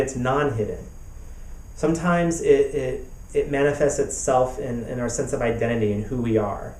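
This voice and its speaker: In a room with audible echo, a man talks at a moderate pace. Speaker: pastor and therapist. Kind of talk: web summit talk. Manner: repetitive, halting.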